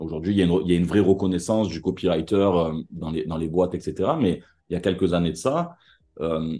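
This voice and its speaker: The voice has a dark, mellow tone and moves at a moderate pace over a quiet background. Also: man. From Marseille, southern France. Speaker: advertising copywriter. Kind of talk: interview. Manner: animated.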